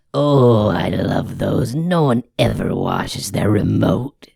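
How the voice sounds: Fairly slow delivery in a put-on character voice. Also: man, medium pitch for a man.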